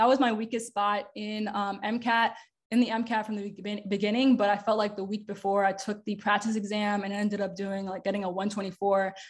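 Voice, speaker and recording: With an American accent, a woman speaks somewhat breathily in a flat monotone at a moderate pace over a quiet background. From Long Island, New York; New York. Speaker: medical student; presenter. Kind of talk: workshop presentation. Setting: video call. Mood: friendly, casual, encouraging. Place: home room. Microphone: webcam.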